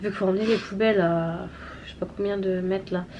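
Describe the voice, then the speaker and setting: A woman at medium pitch, talking at a fairly quick pace. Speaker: family vlogger, mother. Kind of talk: casual vlog chat. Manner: hesitant, many fillers.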